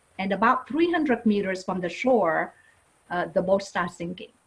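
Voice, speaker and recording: A woman with a Vietnamese accent talks at a medium pitch, somewhat breathy, with ordinary pitch variation. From Vietnam, Saigon. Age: 50s. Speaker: non-profit leader. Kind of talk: interview testimony. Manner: halting with fillers.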